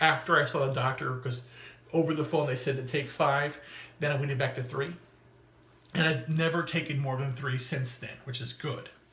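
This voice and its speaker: A man speaks at a moderate pace in a fairly high pitch, his intonation flat and monotone, with audible echo from the room. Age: 40s. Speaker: vlogger documenting weight loss and illness. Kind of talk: personal video diary monologue. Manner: halting, with false starts.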